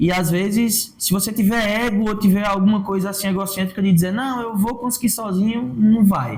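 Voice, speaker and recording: Audible room echo around a man's high-pitched voice at a moderate pace, with hardly any pauses. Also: ordinary pitch variation. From Brazilian Northeast. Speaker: comedian and digital influencer. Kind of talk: podcast interview.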